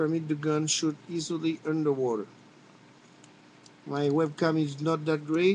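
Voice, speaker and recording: With a French accent, a man of fairly high pitch speaks with long, frequent pauses. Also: very even loudness. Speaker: firearms hobbyist video maker. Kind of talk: tutorial. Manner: halting.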